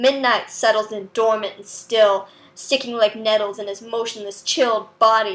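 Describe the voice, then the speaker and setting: A woman with an unremarkable speaking voice talks fairly slowly at a fairly high pitch. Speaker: poet. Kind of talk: spoken word poetry reading.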